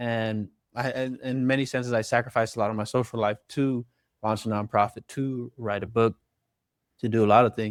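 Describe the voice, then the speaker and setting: On a very clean recording with a silent background, a man with an American accent speaks at a moderate pace in a medium pitch with fairly even intonation. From Long Beach, California. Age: 20s. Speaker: author and youth organizer. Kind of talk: interview conversation. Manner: halting, with fillers and restarts.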